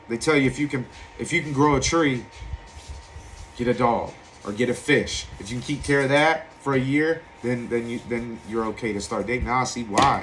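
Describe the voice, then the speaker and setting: A man with an American accent, medium pitch and ordinary pitch variation at a moderate pace, against noticeable background noise. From Virginia Beach, Virginia, US. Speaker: recovering alcoholic sharing his story. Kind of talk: personal testimony.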